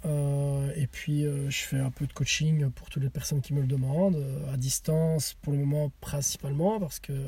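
A man's voice sits at a fairly high pitch, somewhat breathy, with a dark, mellow tone. His intonation stays fairly even. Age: 30s. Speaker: CrossFit athlete and coach. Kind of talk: casual chat. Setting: in a car.

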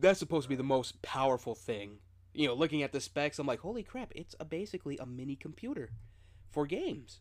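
Lively intonation carries the speaker's very fast pace. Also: man, fairly high pitch for a man. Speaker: podcast host. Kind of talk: casual chat. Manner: animated.

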